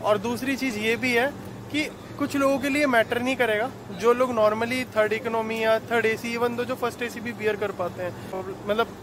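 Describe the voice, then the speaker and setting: A man at extremely high pitch and moderate pace, with fairly even intonation, a dry sound with no echo, and noticeable background noise. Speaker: travel vlogger. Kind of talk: casual vlog chat. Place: station. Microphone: phone near.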